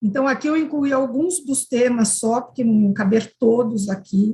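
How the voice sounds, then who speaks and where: With a normal speaking voice, a woman talks at a fairly slow pace and a fairly high pitch, using ordinary pitch variation. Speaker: university professor, conference panelist. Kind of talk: conference presentation.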